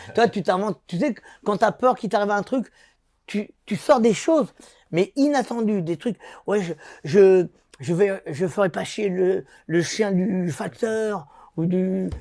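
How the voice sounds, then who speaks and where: In a very clean recording with a silent background and a dry, close sound with no echo, a man with a high pitch speaks at a very slow pace, using ordinary pitch variation and long, frequent pauses. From Paris, France (born in Algeria). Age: 60s. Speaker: former boxer. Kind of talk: interview. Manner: animated; halting.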